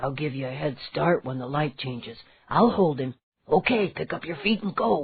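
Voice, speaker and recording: This quiet, put-on character voice mumbles in a low-to-middle pitch. It moves at a moderate pace. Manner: mumbling, hushed.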